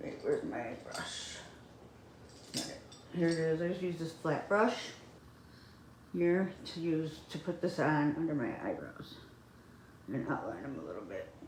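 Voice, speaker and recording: Amid audible room echo, a woman with a fairly low pitch speaks at a moderate pace with lively intonation and long, frequent pauses. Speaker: beauty vlogger. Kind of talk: casual chat. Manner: halting.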